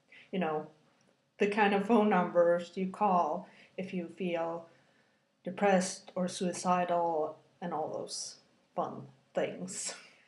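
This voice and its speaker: The speaker goes very slowly in a monotone, flat intonation, with long, frequent pauses. Audible room echo surrounds the voice. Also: woman, medium pitch for a woman. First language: Scandinavian language. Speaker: video blogger. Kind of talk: personal video blog, testimony. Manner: rambling with many fillers; halting.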